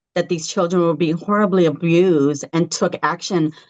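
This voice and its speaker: A woman's unremarkable speaking voice, fairly low-pitched, at a moderate pace with an American accent. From California, Los Angeles. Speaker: founder of a parents' advocacy group. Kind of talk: podcast interview.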